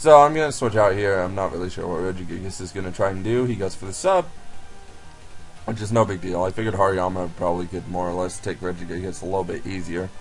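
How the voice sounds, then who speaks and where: Very fast speech from a man with a very deep, low pitch and ordinary pitch variation, music in the background. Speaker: gaming commentator. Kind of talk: game commentary voice-over. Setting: laptop recording.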